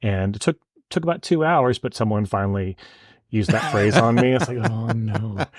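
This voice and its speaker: With a Denver accent, a man at medium pitch speaks at a moderate pace with lively intonation, in a very clean recording with a silent background and a dry, close sound with no echo. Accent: American (Denver). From US, Denver. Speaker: photographer. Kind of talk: interview.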